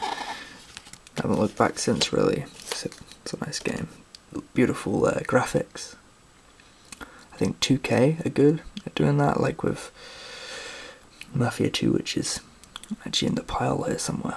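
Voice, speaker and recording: Whispering and soft-spoken at a moderate pace, the voice leaves long, frequent pauses over noticeable background noise. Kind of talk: softly spoken ASMR show-and-tell about video games; casual talk to camera. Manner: soft-spoken, whispery.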